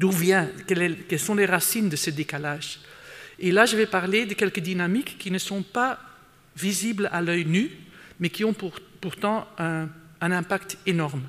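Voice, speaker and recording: A man talks fairly slowly, his high pitch showing ordinary variation. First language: not French (speaking French). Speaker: conference speaker, sustainability expert. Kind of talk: conference talk. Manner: hesitant, many fillers and repetitions.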